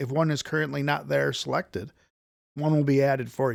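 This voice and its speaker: This man has a plain, everyday voice, pitched fairly high with ordinary pitch variation. The sound is dry and close, with no echo. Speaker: software tool developer demonstrating product. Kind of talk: tutorial.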